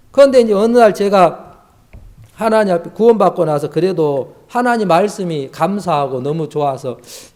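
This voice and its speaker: A high-pitched man speaks at a moderate pace with lively intonation. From rural Korea. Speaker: missionary preacher. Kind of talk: sermon. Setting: youth camp class. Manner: not very fluent.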